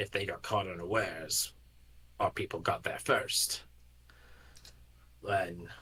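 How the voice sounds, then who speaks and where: Using a put-on character voice, a man with fairly low pitch speaks at a fairly slow pace with long, frequent pauses. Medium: actual play. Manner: controlled, clipped.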